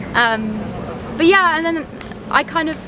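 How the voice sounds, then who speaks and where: With music in the background and audible room echo, a woman talks in lively intonation. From Donegal, Ireland (born in London, moved at six). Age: 20s. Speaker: singer-songwriter. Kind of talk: casual interview. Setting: outdoors in a park.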